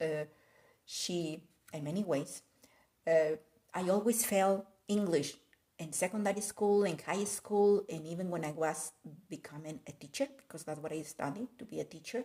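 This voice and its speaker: A woman with a Spanish accent talks at a moderate pace with long, frequent pauses, her fairly low voice dark and mellow in tone, with ordinary pitch variation. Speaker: art content creator. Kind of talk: casual live video chat. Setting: live stream. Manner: code-switching Spanish and English.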